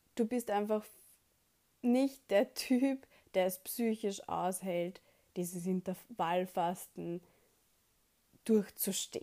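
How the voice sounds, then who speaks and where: Her tone dark and mellow, a woman speaks at a very slow pace with medium pitch, ordinary pitch variation and long, frequent pauses. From Austria, Vienna. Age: 20s. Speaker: podcaster. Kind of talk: personal storytelling monologue.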